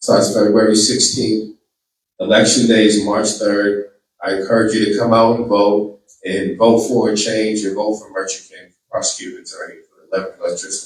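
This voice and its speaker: A man's fairly low, monotone voice with flat intonation and an American accent, at a moderate pace with big swings in loudness. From Boston, Massachusetts. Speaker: attorney and political candidate. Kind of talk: campaign speech; audience Q&A. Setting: community hall event with audience.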